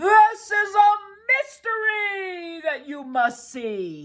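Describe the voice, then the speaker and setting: This put-on character voice sits at an extremely high pitch and moves at a very slow pace. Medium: read story. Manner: showy, self-important.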